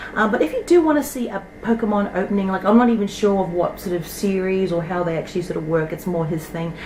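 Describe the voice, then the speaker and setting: A woman with a New Zealand accent, medium pitch and ordinary pitch variation, at a very fast pace with hardly any pauses, amid audible room echo and noticeable background noise. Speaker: toy collecting YouTuber. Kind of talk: casual show-and-tell vlog. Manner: chatty, rambling with fillers.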